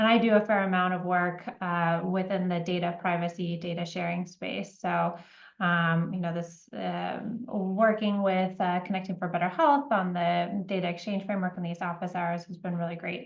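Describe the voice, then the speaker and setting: At a moderate pace and with hardly any pauses, a woman with a fairly low pitch talks in a normal speaking voice, her intonation fairly even. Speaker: healthcare privacy lawyer. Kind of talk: webinar presentation.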